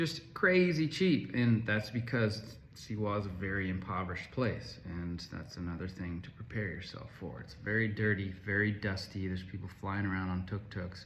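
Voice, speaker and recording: Speaking at a moderate pace with hardly any pauses, a man has a fairly low, somewhat breathy voice. His pitch varies in an ordinary way. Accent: American. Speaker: travel vlogger. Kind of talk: casual travel review vlog. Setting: self-recorded on camera.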